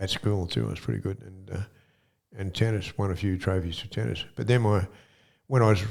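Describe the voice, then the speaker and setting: A man with an Australian accent talks at a fairly quick pace in a fairly low pitch, with lively intonation and long, frequent pauses. The recording is very clean with a silent background. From Australia, Sydney. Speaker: former bank robber and author. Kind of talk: interview, life story. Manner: hesitant, many fillers and repeats.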